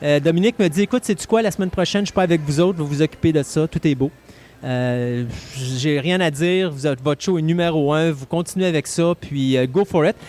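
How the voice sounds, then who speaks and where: With a Quebec accent, a man speaks at a fairly quick pace in a fairly high voice with ordinary pitch variation. The sound is dry and close with no echo. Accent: Québécois French. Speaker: radio host. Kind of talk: casual chat.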